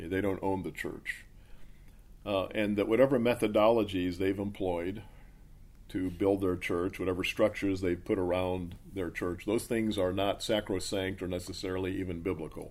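A man's very deep, low voice at a moderate pace, monotone and flat in intonation. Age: 60s. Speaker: pastor. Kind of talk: interview answers.

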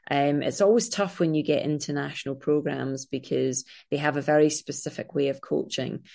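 Against a quiet background, a woman speaks in a Scottish accent at a moderate pace. Her pitch is very deep and low. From Scotland. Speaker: triathlete and filmmaker. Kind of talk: casual interview chat.

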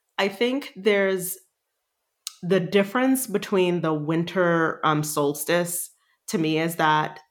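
A woman's fairly low-pitched voice at a very slow pace, with ordinary pitch variation. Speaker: leadership coach and artist. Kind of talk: casual chat.

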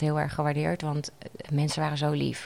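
In a very deep, low voice, a woman speaks at a moderate pace. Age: 30s. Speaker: patient sharing her story. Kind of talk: interview testimony. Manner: halting, many fillers.

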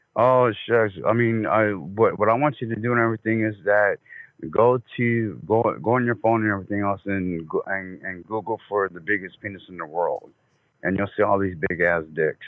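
An American man with an unremarkable speaking voice talks at a moderate pace. His fairly low pitch has ordinary variation. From New Jersey. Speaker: prank call recipient. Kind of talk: flirtatious phone call. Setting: phone call.

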